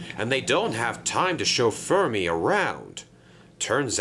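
The text is given a plain reading aloud. Nothing more is added to the delivery.

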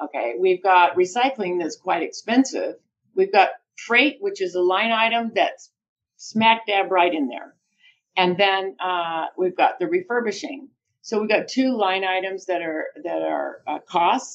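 A woman with an American accent speaks fairly slowly in an unremarkable speaking voice, medium in pitch with lively intonation. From United States. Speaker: business development director in solar recycling. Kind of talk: interview. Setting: video call.

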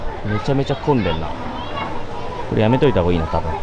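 A man talks over crowd noise in the background. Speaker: fitness vlogger. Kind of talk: casual vlog chat. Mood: relaxed and content.

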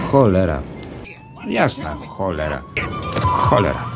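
With music playing in the background, a man talks with very wide pitch swings. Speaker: film voice-over reader. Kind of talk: film voice-over translation read. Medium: dub.

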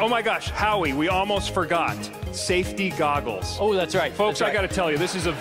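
With clear music playing behind him, a high-pitched man talks at a very fast pace. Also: ordinary pitch variation. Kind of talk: comic stage patter. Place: stage. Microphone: headset.

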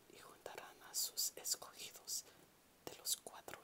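Someone whispers. The pace is very slow. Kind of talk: ASMR Bible reading. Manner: whispered, soft-spoken.

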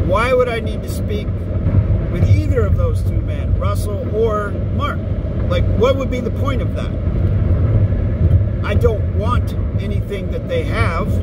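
Over loud background noise, a man speaks at a very slow pace in a dry recording with no echo. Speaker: grammar tutor channel host. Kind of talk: monologue to camera. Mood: dismissive, self-assured. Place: car. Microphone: phone near.

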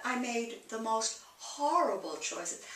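The woman speaks at a very slow pace. Audible room echo surrounds her voice. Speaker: interviewee. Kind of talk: interview answer. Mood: candid, rueful, emotional. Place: home room. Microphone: camera far.

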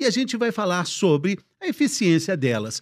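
A man's high voice with very wide pitch swings against a quiet background. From Brazil. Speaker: TV health show host, journalist. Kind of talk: hosted panel discussion. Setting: studio. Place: studio. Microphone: studio mic.

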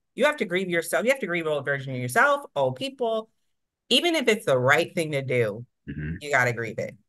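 Against a quiet background, a woman with an American accent talks very fast in a fairly low voice with very wide pitch swings. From Ohio, US Midwest (military brat). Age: 30s. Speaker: software company worker, guest; guest. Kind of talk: casual interview chat. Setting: remote call, on the road. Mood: heartfelt, reflective. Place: home room. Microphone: video call.

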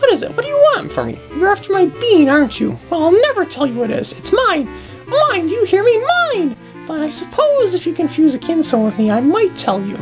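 Over clear background music, a squeaky put-on character voice speaks at a fairly quick pace. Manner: suspicious, possessive, shouting.

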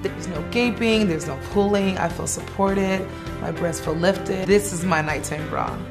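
Clear music sounds in the background as a woman speaks at a moderate pace. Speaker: commercial actor. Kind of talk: TV commercial read. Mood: warm, earnest, satisfied. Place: home room.

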